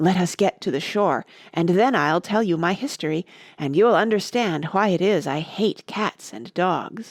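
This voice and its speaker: Using a put-on character voice, a woman speaks shakily at a medium pitch and moderate pace on a very clean recording with a silent background. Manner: low, trembling with emotion.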